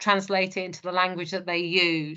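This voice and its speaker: Her pitch medium, a woman speaks at a fairly quick pace in a monotone, flat intonation. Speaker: safeguarding manager. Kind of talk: presentation. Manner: fast.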